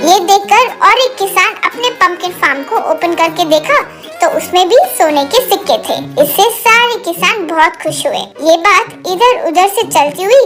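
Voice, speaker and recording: With clear music in the background, a woman does a cartoonish character voice at an extremely high pitch. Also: moderate pace. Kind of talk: children's moral story narration.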